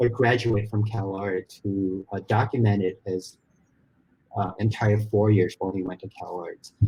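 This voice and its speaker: A man speaks at a fairly low pitch with a dark, mellow tone and somewhat breathy delivery. His intonation is monotone and flat. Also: fairly slow pace, big swings in loudness. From Malaysia. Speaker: story artist in animation. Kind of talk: interview conversation.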